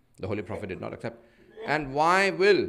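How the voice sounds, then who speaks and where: With audible room echo around him, a man rushes through his words at a very fast pace. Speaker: Islamic preacher. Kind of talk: sermon.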